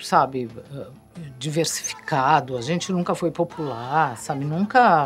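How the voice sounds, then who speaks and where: Background music plays. Over it, a woman talks fairly slowly. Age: 60s. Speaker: punk musician. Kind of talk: interview.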